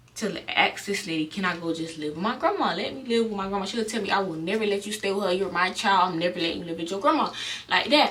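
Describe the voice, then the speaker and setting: Noticeable background noise and audible room echo surround a woman with an American accent whose pitch varies in an ordinary way. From South Florida, Broward County. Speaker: vlogger. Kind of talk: storytime vlog. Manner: casual, with stutters and fillers.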